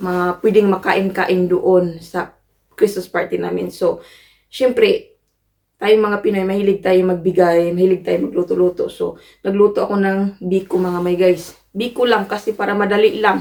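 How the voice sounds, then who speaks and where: Speaking at a moderate pace, a woman uses a medium pitch with monotone, flat intonation. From Philippines. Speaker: vlogger. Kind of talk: casual vlog.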